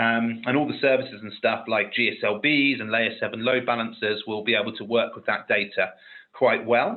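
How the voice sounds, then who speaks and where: Fairly even intonation from a man at medium pitch, moderately paced. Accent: British. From UK. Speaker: technical expert on a webinar panel. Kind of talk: webinar panel discussion.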